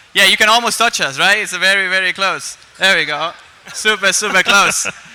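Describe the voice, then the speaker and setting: The speaker moves at a fairly quick pace with fairly even intonation. Noticeable background noise sits behind the voice. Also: man, high pitch for a man. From Argentina. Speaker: esports commentator and host. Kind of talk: live event hosting. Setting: stage with live audience.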